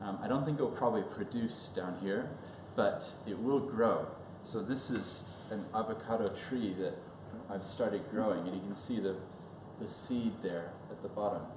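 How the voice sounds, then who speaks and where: Amid audible room echo and noticeable background noise, a man with a fairly low pitch talks at a moderate pace with ordinary pitch variation and long, frequent pauses. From New Zealand, Christchurch. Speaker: lawyer. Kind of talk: seminar presentation. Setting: information evening with live audience.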